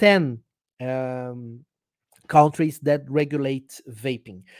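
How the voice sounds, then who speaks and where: With a Brazilian accent, a man speaks at a very slow pace. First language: Portuguese. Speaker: journalist and vaping advocate. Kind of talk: casual interview. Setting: video call. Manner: halting.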